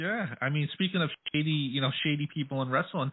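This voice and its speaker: The man has an ordinary speaking voice, pitched fairly high. His pace is fairly quick. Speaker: radio interviewer. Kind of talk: radio dj patter, casual interview banter. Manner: friendly, relaxed, chatty, easygoing.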